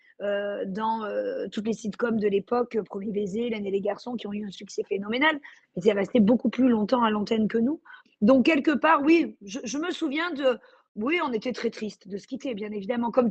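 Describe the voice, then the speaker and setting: A woman's fairly high voice, varying in pitch in an ordinary way, moves at a moderate pace. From Marseille, southern France. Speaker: actress. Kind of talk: interview. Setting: remote video call. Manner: hesitant, many fillers.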